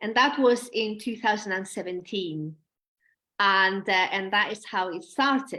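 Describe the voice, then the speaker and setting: A woman's bright, sharp tone at medium pitch, with ordinary pitch variation and a fairly slow pace. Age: 40s. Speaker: perfumer and astrobiology doctoral student. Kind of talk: interview. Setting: live stream video call.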